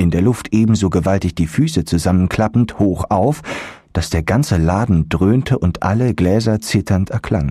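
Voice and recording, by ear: Here a passage is read aloud in a natural voice. The pitch moves in an ordinary way.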